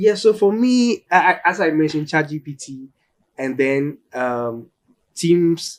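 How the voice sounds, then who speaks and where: A man's fairly high voice with lively intonation and big swings in loudness. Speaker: tech company employee. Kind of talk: panel discussion. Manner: fast.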